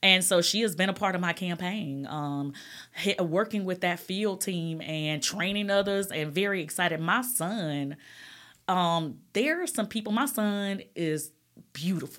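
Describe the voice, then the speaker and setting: A woman talks with an Alabama accent at a medium pitch. Her pitch variation is ordinary. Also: fairly slow pace, very clean recording, silent background. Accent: Southern US (Alabama). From US South, Alabama. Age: 40s. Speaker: state legislator. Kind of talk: casual interview.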